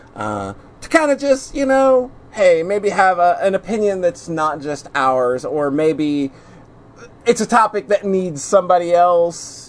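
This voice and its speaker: The speech goes at a fairly slow pace, with noticeable noise in the background. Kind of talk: casual chat.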